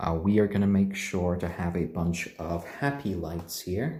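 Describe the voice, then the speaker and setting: The speaker sounds somewhat breathy, with a dark, mellow tone and a gentle, calm tone, talking at a fairly slow pace amid audible room echo. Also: man. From Japan, British parents. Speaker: chicken live streamer. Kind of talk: casual live stream chat. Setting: live stream at home. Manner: halting, many fillers.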